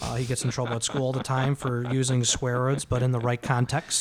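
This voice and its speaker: Noticeable background noise sits behind a man speaking at a fairly quick pace in a medium pitch. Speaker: restoration company worker and father. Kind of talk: casual chat.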